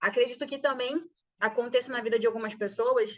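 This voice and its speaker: The intonation is lively. The pace is moderate. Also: woman. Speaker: business course instructor. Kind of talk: online lecture. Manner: soft-spoken. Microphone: too quiet.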